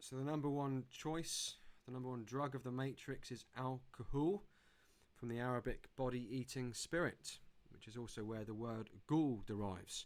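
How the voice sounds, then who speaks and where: At a moderate pace, a man with an English accent speaks at a medium pitch that varies in an ordinary way. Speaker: conference speaker. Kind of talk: presentation.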